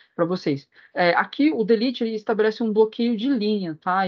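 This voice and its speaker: A woman speaks with a Brazilian accent. Her pace is fairly quick. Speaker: database and BI instructor. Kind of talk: online class lecture. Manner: fast.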